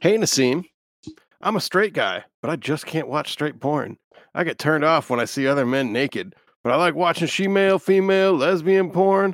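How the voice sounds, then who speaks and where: On a very clean recording with a silent background, a man speaks at a moderate pace in a high voice with ordinary pitch variation. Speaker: producer and co-host. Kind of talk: casual chat.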